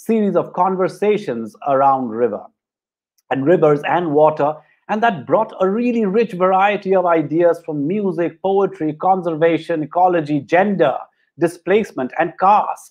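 The pace is moderate, with ordinary pitch variation. The background is quiet. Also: man, high pitch for a man. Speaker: moderator introducing a panel. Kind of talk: panel introduction. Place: home room. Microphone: video call.

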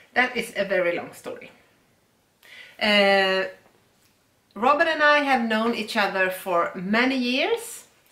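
A woman with a Swedish accent speaks at a fairly high pitch in a bright, sharp tone, with lively intonation. Her pace is fairly slow with long, frequent pauses, and room echo is audible. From Sweden. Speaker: yarn dyer and shop owner; co-host. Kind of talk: casual chat.

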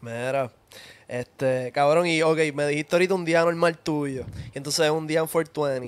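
An ordinary speaking voice belongs to a man with a fairly high pitch. He speaks at a fairly slow pace with fairly even intonation. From Puerto Rico. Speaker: podcast host. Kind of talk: casual chat. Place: home room. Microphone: studio mic.

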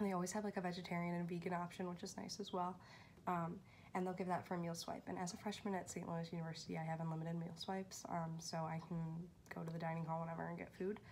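A woman's somewhat breathy, fairly low voice in a flat monotone at a very fast pace, over light background noise. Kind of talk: casual vlog chat. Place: home room. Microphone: phone near.

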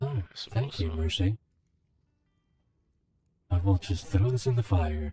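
A put-on character voice at a fairly slow pace, broken by long, frequent pauses. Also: man, fairly low pitch for a man. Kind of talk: in-game voice chat role play. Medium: role play. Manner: polite, hesitant, stammering.

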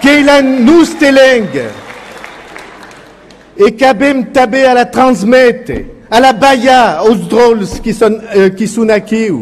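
A man speaks at an extremely high pitch with ordinary pitch variation, very slowly and with long, frequent pauses. Crowd noise fills the background. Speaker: politician. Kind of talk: political speech at a rally.

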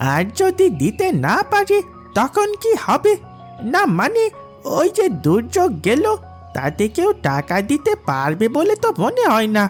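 Clear music plays in the background. Over it, a cartoonish character voice talks at a moderate pace. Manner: deferential, hesitant.

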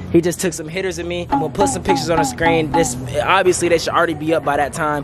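A man speaks with ordinary pitch variation. The sound is dry with no echo, and faint music plays in the background. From US South. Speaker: vlogger. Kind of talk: casual vlog chat. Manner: animated. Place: street. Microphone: phone near.

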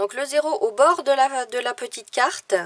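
A woman is heard with a dry, close sound and no echo. Noticeable background noise is present. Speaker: watercolour teacher and illustrator. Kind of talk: tutorial. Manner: slow.

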